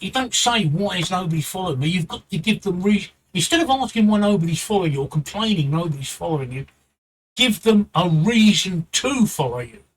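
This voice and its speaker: This man has a strong British accent and a high voice. He talks at a fairly quick pace. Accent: thick British. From London, England. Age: 60s. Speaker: Twitch streamer. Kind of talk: livestream advice talk. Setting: live stream, home. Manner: repetitive, halting.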